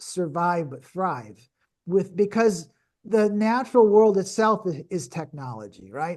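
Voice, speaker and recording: Against a quiet background, a man talks at a fairly slow pace with ordinary pitch variation. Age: 60s. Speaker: spiritual teacher, doctor. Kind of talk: podcast interview. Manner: halting, many repeated words.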